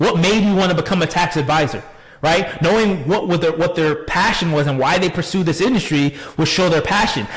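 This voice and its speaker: Over noticeable background noise, a man with an American accent speaks at a fairly quick pace in a high pitch, his tone animated, his pitch variation ordinary and his loudness very even. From Chicago, US Midwest. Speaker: tax advisor. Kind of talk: webinar presentation. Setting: online live stream. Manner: fast.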